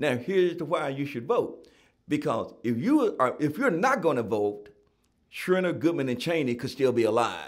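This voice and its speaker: With a Southern US accent, a man talks at a moderate pace in a fairly high pitch, his intonation lively. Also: very clean recording, silent background. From Tennessee (Gallatin). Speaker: author and nonprofit founder. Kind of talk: interview.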